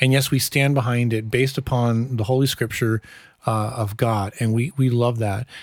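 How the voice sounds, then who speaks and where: A man with an Upper Midwestern American accent, medium pitch, fairly even intonation, very even loudness, and a moderate pace, on a very clean recording with a silent background. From US upper Midwest. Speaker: pastor. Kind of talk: casual chat.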